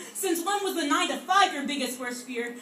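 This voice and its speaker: Noticeable background noise surrounds a woman whose raised, projected voice moves at a fairly quick pace. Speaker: slam poet. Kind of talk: slam poetry performance.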